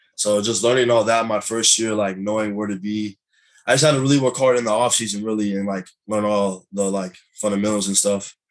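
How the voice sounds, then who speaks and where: With a plain, everyday voice, a man talks at a fairly quick pace in a fairly low pitch and fairly even intonation. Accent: American. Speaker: college football player. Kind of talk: interview.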